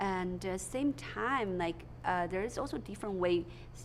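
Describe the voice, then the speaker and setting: This woman's voice is fairly low in pitch and shows vocal fry. She talks at a moderate pace. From China. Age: young. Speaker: comedian. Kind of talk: interview. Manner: halting.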